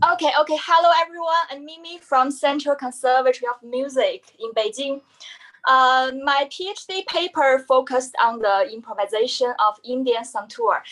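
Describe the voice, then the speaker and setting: Using lively intonation and big swings in loudness, a woman with a Chinese accent speaks at a moderate pace in a high pitch. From China. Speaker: musician and doctoral student. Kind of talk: panel presentation. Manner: halting.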